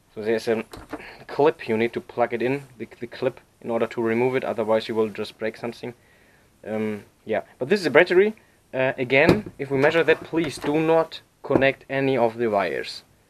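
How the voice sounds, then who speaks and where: Speaking with a non-native accent, a man uses a medium pitch and lively intonation at a fairly quick pace. The sound is dry and close, with no echo. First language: not English. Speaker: repair tutorial maker. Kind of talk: tutorial. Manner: halting, many fillers.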